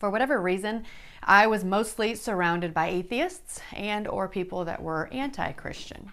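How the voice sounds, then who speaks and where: A woman's normal speaking voice with an American accent, medium pitch, ordinary pitch variation and a moderate pace. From South Dakota, US Midwest. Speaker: online Bible study host. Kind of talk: personal testimony.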